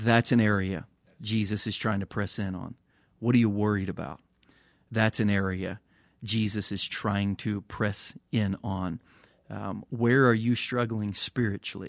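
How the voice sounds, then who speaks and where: At a fairly slow pace, a man with a plain, everyday voice speaks at a fairly low pitch with fairly even intonation, in a dry, close sound with no echo over a quiet background. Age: 40s. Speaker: pastor. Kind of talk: casual chat.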